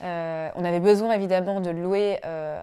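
A woman's fairly low voice with a dark, mellow tone and fairly even intonation. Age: 30s. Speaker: web engineer, client of a property investment firm. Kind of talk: testimony. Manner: hesitant, frequent fillers. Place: home room.

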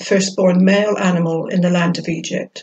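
With vocal fry and a slightly husky edge, a woman speaks at a medium pitch and a fairly slow pace.

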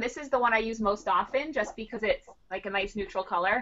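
A woman speaks at a fairly quick pace with a bright, sharp tone. Her pitch sits fairly high, and light background noise is audible. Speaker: card maker and craft company co-founder; craft show host. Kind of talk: casual interview. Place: home room. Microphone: video call.

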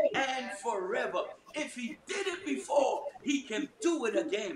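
Over noticeable background noise, a man talks at an extremely high pitch with very wide pitch swings. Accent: American. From New York. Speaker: prayer meeting leader; preacher. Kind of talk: fervent group prayer and scripture reading. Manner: fervent, rising, call-and-response, punctuated by hallelujahs. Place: home room. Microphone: video call.

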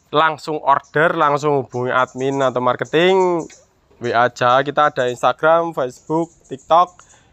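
A man speaks at a moderate pace in an animated tone, his pitch fairly high with ordinary variation. The sound is dry and close, with no echo. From Yogyakarta, Java. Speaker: used car dealer. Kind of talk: sales pitch, car walkaround review. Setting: outdoors at car lot. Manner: animated, repetitive price haggling.

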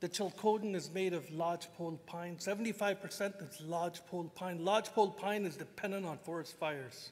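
A man's high-pitched voice at a moderate pace, with fairly even intonation. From Canada. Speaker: First Nations chief. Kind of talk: panel talk. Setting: stage with audience. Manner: joking. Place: hall. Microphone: podium.

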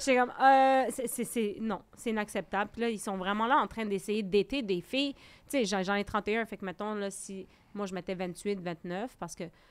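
Ordinary pitch variation at a moderate pace. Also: woman. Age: 30s. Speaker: teacher. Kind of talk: casual chat. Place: studio. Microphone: studio mic.

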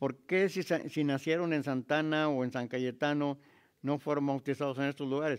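With a northern Mexican accent, a man talks at a moderate pace and fairly high pitch. His intonation is fairly even against a quiet background. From Mexico. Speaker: historian; local historian lecturer. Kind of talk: lecture. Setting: stage with audience. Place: hall. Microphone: studio mic.

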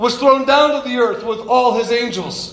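Over noticeable background noise, a man with an extremely high voice talks at a moderate pace in an animated tone, his pitch varying in an ordinary way. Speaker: preacher. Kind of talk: sermon. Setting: church. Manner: animated, conversational preacher who jokes with the congregation; calm, guiding tone during the eyes-closed visualization.

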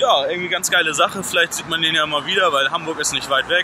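Noticeable background noise behind a high-pitched male voice. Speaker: vlogger. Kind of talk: casual vlog chat. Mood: cheerful, relaxed. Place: street. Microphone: phone near.

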